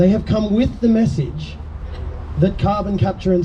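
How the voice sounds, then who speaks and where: Someone speaks at a moderate pace with an Australian accent. Background noise is noticeable. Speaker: scientist activist. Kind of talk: public speech at outdoor teach-in.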